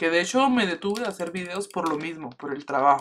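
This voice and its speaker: Speaking fairly quickly, a man uses a high-pitched voice. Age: 20s. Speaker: gaming youtuber; gaming streamer. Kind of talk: gameplay commentary, casual chat. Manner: casual, informal. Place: home room.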